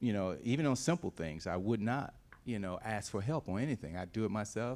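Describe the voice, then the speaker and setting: On a very clean recording with a silent background, a man speaks in a normal speaking voice, fairly low in pitch, with lively intonation. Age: 60s. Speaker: church panelist. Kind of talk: panel discussion testimony.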